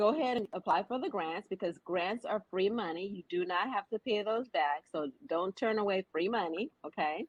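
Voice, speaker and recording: With an American accent, a woman speaks at a moderate pace and medium pitch, her intonation lively. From US West Coast. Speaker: business coach. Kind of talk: interview. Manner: loud; animated.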